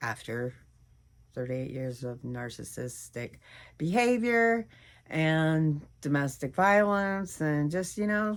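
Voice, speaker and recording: A woman with an American accent speaks fairly slowly at a very deep, low pitch, with lively intonation. The recording is very clean, with a silent background. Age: 60s. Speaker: weight loss vlogger. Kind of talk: casual vlog monologue. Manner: animated.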